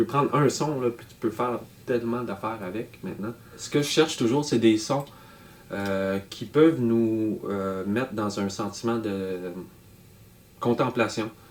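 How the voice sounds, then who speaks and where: Over noticeable background noise, a man talks at a fairly slow pace and medium pitch with ordinary pitch variation and long, frequent pauses. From Nunavut, Canada. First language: Inuktitut (speaking French). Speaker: electronic musician and artist. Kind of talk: interview monologue. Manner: halting, many hesitations.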